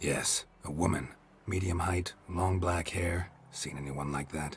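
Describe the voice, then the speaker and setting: A man's put-on character voice, very deep and low, delivered in a deadpan tone at a fairly slow pace. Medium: video game. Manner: terse, deadpan.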